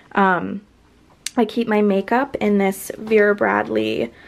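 This woman talks at a very slow pace. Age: 20s. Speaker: lifestyle vlogger; college student vlogger. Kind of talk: room tour video. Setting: her bedroom. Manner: casual, upbeat. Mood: relaxed, friendly. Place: home room. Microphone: phone near.

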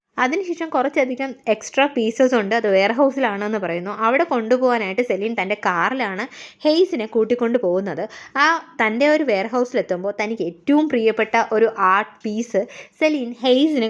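This woman has an ordinary speaking voice with a fairly high pitch. Her intonation is lively. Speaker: movie recap narrator. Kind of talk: scripted narration.

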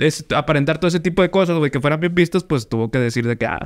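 A man's lively intonation at a very fast pace. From Mexico. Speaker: podcast host. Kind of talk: casual chat. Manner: animated. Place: studio. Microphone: studio mic.

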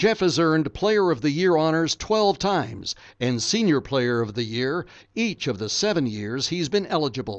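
Very wide pitch swings mark this delivery at a moderate pace. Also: man. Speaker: voiceover narrator. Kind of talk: hall of fame tribute voiceover, scripted narration. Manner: formal, steady and polished, reverent with light humor.

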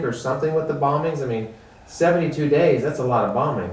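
A man talks at a moderate pace with fairly even intonation amid audible room echo. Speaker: oral history interviewer. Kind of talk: interview. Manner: earnest. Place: home room.

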